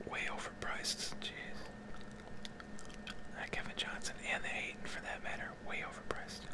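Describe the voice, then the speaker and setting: A man speaks at a moderate pace, leaving long, frequent pauses, while loud background noise fills the recording. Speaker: ASMR content creator. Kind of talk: casual talk to camera, gaming commentary. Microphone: studio mic.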